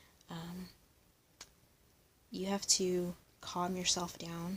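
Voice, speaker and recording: A soft-spoken woman's voice, fairly low and somewhat breathy, with monotone, flat intonation. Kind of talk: ASMR soft-spoken vlog. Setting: lying down, handheld camera.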